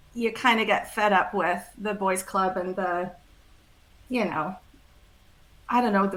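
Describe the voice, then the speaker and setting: A woman of medium pitch speaks at a moderate pace with fairly even intonation, with noticeable background noise. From Switzerland. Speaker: ethical marketing founder. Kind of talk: interview conversation.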